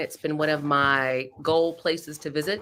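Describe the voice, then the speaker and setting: On a very clean recording with a silent background, a woman with an American accent has a very deep, low pitch and a bright, sharp tone. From Florida. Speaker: podcast co-host. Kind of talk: casual chat. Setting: studio.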